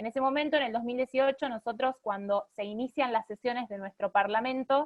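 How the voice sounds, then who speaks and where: A woman speaks at a fairly quick pace in a high voice, her intonation fairly even. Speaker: lawyer and pro-life activist. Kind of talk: online talk. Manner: fast.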